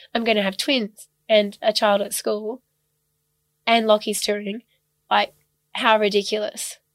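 With an Australian accent, a woman talks at a fairly slow pace in a fairly high pitch and a monotone, flat intonation, leaving long, frequent pauses in a dry, close sound with no echo. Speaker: ballet dancer. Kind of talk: casual chat.

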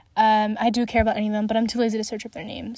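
Animated and fairly high-pitched, a woman with a Western Canadian accent comes through on a very clean recording with a silent background and a dry, close sound with no echo. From Canada, Alberta (city-raised). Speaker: podcast host, motorsport fan. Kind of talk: solo casual chat.

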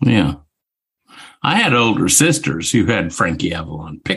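With vocal fry, a man speaks at a fairly slow pace, his pitch swinging very widely. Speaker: podcast co-host. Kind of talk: casual chat. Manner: animated.

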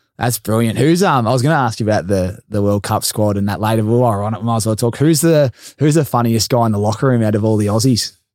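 Very fast speech in an Australian accent with hardly any pauses, on a very clean recording with a silent background. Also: man, medium pitch for a man, ordinary pitch variation. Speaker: podcast host. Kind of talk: casual interview chat.

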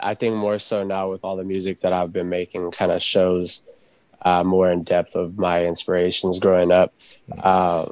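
At a moderate pace, a man speaks in a very deep, low voice with monotone, flat intonation. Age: 20s. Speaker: rapper. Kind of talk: casual chat. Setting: video call.

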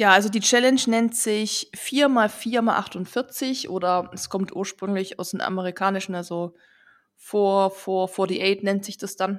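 On a very clean recording with a silent background, a woman speaks at a very slow pace and a medium pitch. Her intonation is fairly even, but her loudness swings widely. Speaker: running podcast host. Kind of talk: casual chat.

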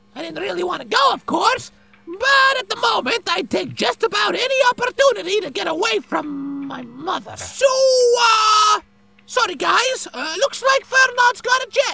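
Shouting in a put-on character voice, the speaker hits an extremely high pitch with very wide pitch swings. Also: moderate pace. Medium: audio drama. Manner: sarcastic, brash.

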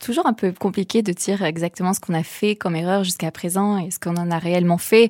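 A woman with an ordinary speaking voice talks at a fairly quick pace with fairly even intonation and hardly any pauses. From southern France, Vaucluse. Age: young. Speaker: social entrepreneur. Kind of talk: interview.

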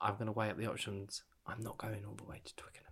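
On a very clean recording with a silent background, a man with an English accent speaks at a moderate pace in a fairly low pitch. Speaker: podcast co-host, parent. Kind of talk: casual chat.

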